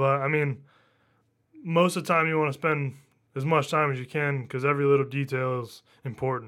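With an American accent, a man speaks at a fairly high pitch in fairly even intonation, leaving long, frequent pauses. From northern US. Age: 20s. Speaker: audio engineer. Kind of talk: casual chat. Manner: fast talker.

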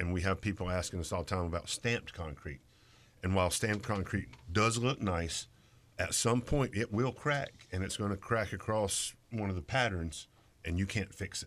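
In a very clean recording with a silent background, a man speaks in a normal speaking voice at a fairly low pitch and moderate pace, his pitch varying in an ordinary way. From Greensboro, North Carolina. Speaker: landscaper and hardscape contractor. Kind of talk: casual radio interview. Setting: radio studio.

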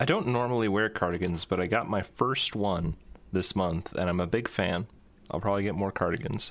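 A man with a plain, everyday voice, fairly low in pitch, at a fairly quick pace, with ordinary pitch variation and very even loudness. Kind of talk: casual chat. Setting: video call.

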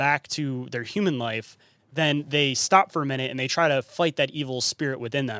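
Here is a man with a plain, everyday voice and an American accent, on a very clean recording with a silent background. He talks at a moderate pace with a fairly high pitch and ordinary pitch variation. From Michigan. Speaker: paranormal podcast host and cryptid researcher. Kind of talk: casual interview chat.

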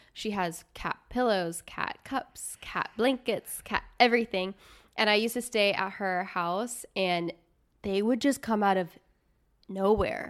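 A woman with an American accent has an ordinary speaking voice at medium pitch, with ordinary pitch variation. She speaks at a fairly slow pace on a very clean recording with a silent background. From US Midwest. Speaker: podcast host. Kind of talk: casual chat. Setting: studio, on camera.

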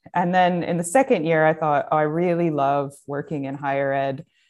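A woman with an American accent speaks in a normal speaking voice at a moderate pace and a fairly low pitch. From upstate New York, US. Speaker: design professor and head of school. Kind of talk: casual interview.

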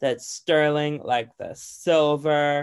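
A speaker with an American accent is heard on a very clean recording with a silent background. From US, Virginia and Idaho. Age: 20s. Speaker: makeup artist. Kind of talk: casual chat. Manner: animated.

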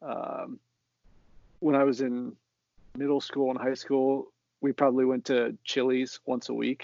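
A man with an American accent talks at a fairly slow pace with long, frequent pauses. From Central Ohio, US (Columbus suburb). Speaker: soccer fan guest. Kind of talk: casual chat.

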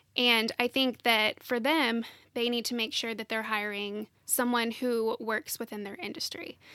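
A woman speaks at a fairly slow pace in a bright, sharp tone with fairly high pitch. Her intonation is fairly even, and the sound is dry and close with no echo. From Nashville, Tennessee. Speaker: interiors photographer. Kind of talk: interview.

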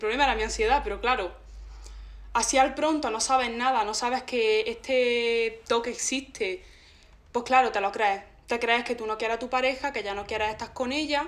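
Speaking at a moderate pace, a woman has a plain, everyday voice. Her fairly high pitch follows a fairly even intonation. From Andalusia, Granada province (Zagra). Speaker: podcast guest. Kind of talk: casual chat.

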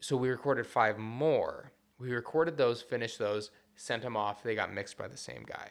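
This man has an unremarkable speaking voice with a medium pitch. He talks at a moderate pace with ordinary pitch variation. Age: 30s. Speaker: punk musician. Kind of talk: casual chat. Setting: studio.

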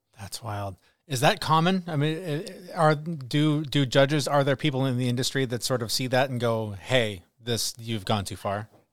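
In an unremarkable speaking voice, a man talks at a moderate pace and medium pitch with lively intonation and hardly any pauses. The recording is very clean, with a silent background. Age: 40s. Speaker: podcast co-host. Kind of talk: casual chat.

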